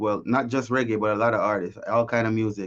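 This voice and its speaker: In a Jamaican accent, a man talks at a very fast pace. His pitch is medium, over a quiet background. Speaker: singer-songwriter. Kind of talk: interview.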